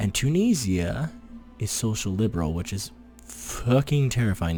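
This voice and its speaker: Soft-spoken and somewhat breathy, a man talks at a moderate pace in a dark, mellow tone with very wide pitch swings. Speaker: gaming youtuber. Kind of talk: gameplay commentary. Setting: home recording, girlfriend sleeping nearby. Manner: casual. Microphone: very close to the microphone.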